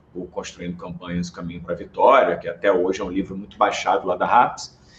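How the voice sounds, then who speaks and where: A man with a Rio de Janeiro accent speaks with big swings in loudness. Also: fairly quick pace. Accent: carioca. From Brazil, Rio de Janeiro. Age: 30s. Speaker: political marketing strategist. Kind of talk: podcast interview.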